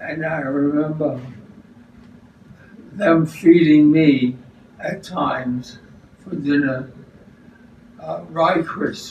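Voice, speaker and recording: Speaking at a very slow pace with long, frequent pauses, a man keeps a fairly even intonation while his loudness swings widely, with light background noise and audible room echo. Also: fairly high pitch for a man. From New York City. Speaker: retiree recalling childhood. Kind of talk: interview answer. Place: kitchen. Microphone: camera far.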